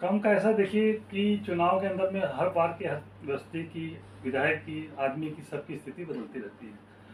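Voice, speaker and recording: With noticeable background noise, a high-pitched man speaks with lively intonation and big swings in loudness. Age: 60s. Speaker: politician. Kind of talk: interview.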